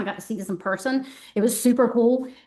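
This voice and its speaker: Over noticeable background noise, a woman talks at a very fast pace with fairly even intonation and a fairly high pitch. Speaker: art professor. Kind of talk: artist talk. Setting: gallery talk with live audience. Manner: many filler ums.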